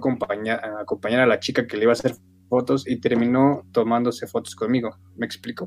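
Speaking in an ordinary speaking voice, a man keeps a medium pitch, a fairly quick pace and fairly even intonation. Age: 20s. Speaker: photographer and graphic designer. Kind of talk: casual interview.

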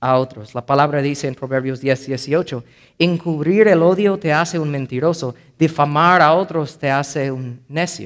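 Speaking at a fairly slow pace, a man with an English accent uses a fairly high pitch and ordinary pitch variation. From United States. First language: English (speaking Spanish). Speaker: pastor. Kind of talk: sermon.

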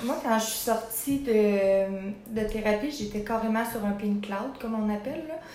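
Over noticeable background noise and audible room echo, a woman talks fairly slowly at a fairly high pitch with ordinary pitch variation. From Quebec, Sorel area. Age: 20s. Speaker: former rehab resident in recovery. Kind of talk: interview testimony.

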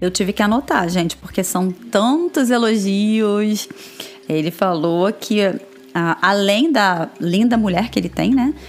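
Speaking at a moderate pace, a woman with a medium pitch uses lively intonation at very even loudness over noticeable background noise. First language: Portuguese. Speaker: podcast host, translator and teacher. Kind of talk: casual chat.

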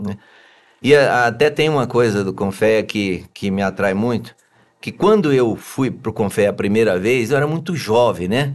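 In an unremarkable speaking voice, a man talks at a fairly slow pace with medium pitch and ordinary pitch variation against a quiet background. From Goiás, Brazil (Anápolis). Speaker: engineer and business owner, election candidate. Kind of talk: interview.

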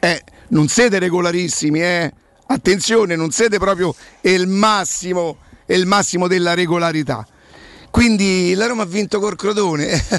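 A high-pitched man speaks in an animated tone with ordinary pitch variation and long, frequent pauses. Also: fairly slow pace. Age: 60s. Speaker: sports radio host. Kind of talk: casual chat; sales pitch. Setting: studio.

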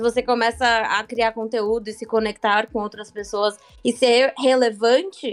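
Fairly high in pitch, a woman with an unremarkable speaking voice talks at a fairly slow pace with fairly even intonation. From Santos, Brazil. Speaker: podcast guest, sales worker. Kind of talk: casual chat.

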